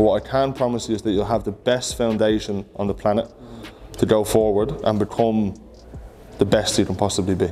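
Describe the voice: Faint music plays behind a man who talks fairly quickly, his fairly low voice dark and mellow with fairly even intonation.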